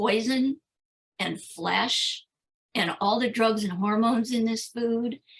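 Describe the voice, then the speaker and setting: A woman with an American accent talks at a very slow pace. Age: 70s. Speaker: vegan activist and author. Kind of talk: interview conversation.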